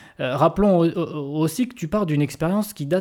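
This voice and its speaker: Recorded very cleanly with a silent background, a man with a dark, mellow tone talks at a fairly quick pace with lively intonation. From southwestern France. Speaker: podcast host. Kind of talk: interview. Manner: halting.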